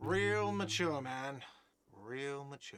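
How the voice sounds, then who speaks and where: Audible echo surrounds a man doing a whiny put-on character voice. His pitch is medium. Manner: annoyed, sarcastic.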